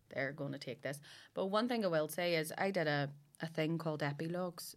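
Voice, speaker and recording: A woman with a Belfast accent speaks at a fairly quick pace with fairly even intonation. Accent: Belfast Northern Irish. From West Belfast, Northern Ireland. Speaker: comedian. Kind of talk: casual chat.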